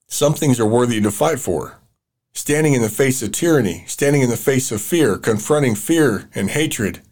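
A speaker with an American accent talks at a moderate pace with lively intonation. The recording is very clean, with a silent background. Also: man. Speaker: podcast host. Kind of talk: political commentary monologue. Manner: animated, excitable.

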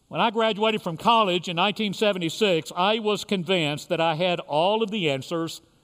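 A man with an American accent talks at a moderate pace. His pitch is high for a man, with ordinary pitch variation. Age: 60s. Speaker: pastor. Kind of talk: sermon. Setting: church.

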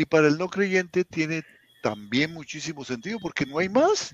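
Recorded dry and close with no echo, a man speaks high for his sex with lively intonation. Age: 70s. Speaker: grief counselor. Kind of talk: casual chat.

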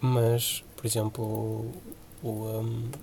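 A man at medium pitch. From Portugal, Porto area (Senhora da Hora). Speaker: podcast co-host. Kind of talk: casual chat.

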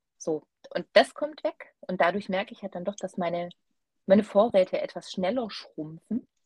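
Recorded dry and close with no echo, a woman speaks at medium pitch and a moderate pace, somewhat breathy, with lively intonation and big swings in loudness. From Swabia, Germany. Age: 30s. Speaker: knitter, guest co-host. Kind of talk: casual chat.

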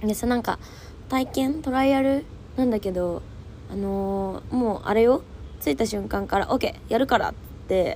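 A woman with an animated tone, a moderate pace and long, frequent pauses. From Japan, Fukuoka (Hakata). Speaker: podcast host. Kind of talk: casual solo chat.

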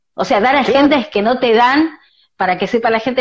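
A woman speaks with a Rioplatense accent. Her pitch is high. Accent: Argentine Rioplatense Spanish. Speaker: podcast host. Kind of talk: interview.

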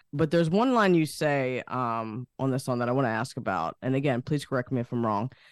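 With a normal speaking voice at medium pitch, a man talks at a fairly quick pace with hardly any pauses and ordinary pitch variation, in a dry, close sound with no echo. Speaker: podcast co-host. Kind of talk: interview.

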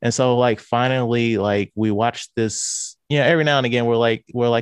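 A man with a St. Louis accent talks at a medium pitch and fairly quick pace, his voice dry and close with no echo against a quiet background. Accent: Midwestern American (St. Louis). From US Midwest, St. Louis, Missouri. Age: 30s. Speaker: podcaster. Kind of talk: casual chat.

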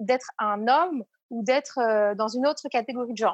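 At a moderate pace, a woman with an unremarkable speaking voice talks in a fairly high pitch that shows ordinary pitch variation. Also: dry, close sound with no echo. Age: 30s. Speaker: entrepreneur, founder of a support network. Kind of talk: casual interview.

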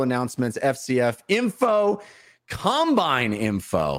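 At a fairly slow pace, a man with an ordinary speaking voice and a fairly high pitch talks on a very clean recording with a silent background. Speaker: show host. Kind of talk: casual chat. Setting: livestream from home.

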